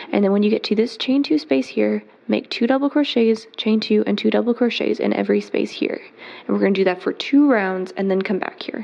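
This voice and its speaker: Noticeable background noise runs under the clip. The talking moves fairly quickly. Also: woman. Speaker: crochet teacher. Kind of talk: tutorial.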